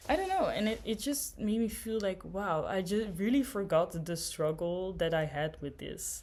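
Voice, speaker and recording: Over noticeable background noise, a woman talks. Her pace is moderate, with ordinary pitch variation. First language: a Germanic language. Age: young. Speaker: vlogger. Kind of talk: casual monologue. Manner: hesitant, many fillers.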